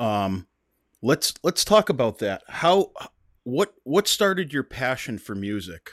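A man with an American accent speaks at a very slow pace, his medium-pitched voice making very wide pitch swings. The recording is very clean with a silent background and a dry, close sound with no echo. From US Northeast. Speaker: podcast host. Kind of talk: casual interview chat. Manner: halting, many fillers.

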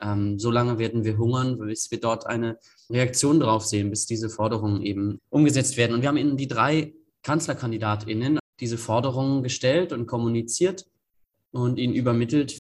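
Somewhat breathy, a man talks at a fairly quick pace with a medium pitch. His pitch varies in an ordinary way against a quiet background. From northeastern Germany, Greifswald. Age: 20s. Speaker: climate activist and student. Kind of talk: interview.

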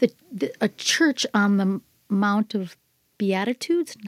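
In a very clean recording with a silent background, a woman speaks at a medium pitch with a dry, close sound and no echo. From US Midwest, Minnesota. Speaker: artist. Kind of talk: casual interview chat. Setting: studio.

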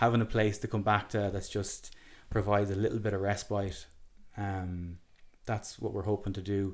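In an Irish accent, a man with a fairly low voice speaks in a flat monotone at a moderate pace on a very clean recording with a silent background. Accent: Irish (Galway). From Ireland, Galway City. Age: 30s. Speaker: festival wellness area curator. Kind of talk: casual chat.

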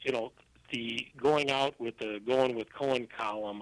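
A man's medium-pitched voice at a fairly slow pace, with a dry, close sound and no echo. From US Midwest, Milwaukee, Wisconsin. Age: 50s. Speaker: trade magazine columnist. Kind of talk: interview. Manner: halting, frequent fillers.

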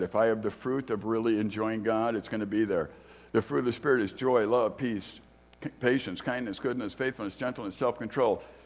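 A man with an American accent talks at a fairly quick pace in an unremarkable speaking voice, medium in pitch with fairly even intonation. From US Midwest, Chicago. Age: 60s. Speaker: guest preacher and theology teacher. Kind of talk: sermon. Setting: church.

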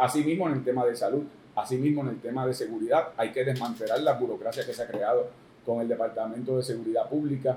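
Very fast in pace, a man speaks at a medium pitch with fairly even intonation and a dark, mellow tone that is somewhat breathy. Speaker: politician, gubernatorial candidate. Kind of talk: political interview.

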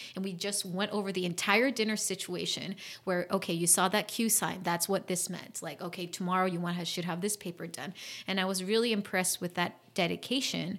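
At a fairly quick pace, a woman with an American accent talks in an unremarkable speaking voice at a medium pitch with fairly even intonation. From US (born DC, Virginia) and South Korea. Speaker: entrepreneur and creativity educator. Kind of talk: interview.

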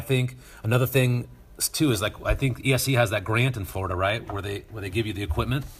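A man with an American accent speaks in a somewhat breathy voice with ordinary pitch variation. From US West, Northern Nevada. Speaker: high school TV production teacher. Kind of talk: interview conversation. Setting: video call.

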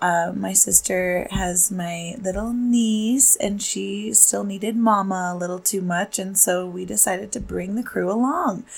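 Fairly slow yet with hardly any pauses, a woman's somewhat breathy voice stays at a medium pitch with fairly even intonation. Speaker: health podcast host. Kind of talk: casual chat.

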